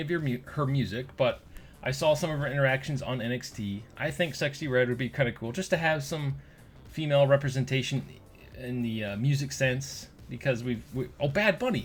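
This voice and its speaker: This man speaks at a fairly high pitch with ordinary pitch variation and a fairly quick pace. His voice is somewhat breathy. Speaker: gaming YouTuber. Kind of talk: casual video commentary. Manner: fast; animated.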